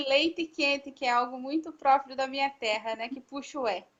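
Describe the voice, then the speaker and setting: Here a woman speaks with a high pitch. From Paraná, southern Brazil. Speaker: religious sister. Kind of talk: vocational testimony. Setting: online live stream.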